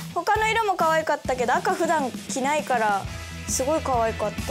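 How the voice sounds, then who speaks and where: Over clear music in the background, a woman speaks with a high pitch, very wide pitch swings and an upbeat tone. Her pace is moderate and her loudness very even. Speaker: voice actress. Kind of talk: casual web show banter. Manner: upbeat, excitable. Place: studio.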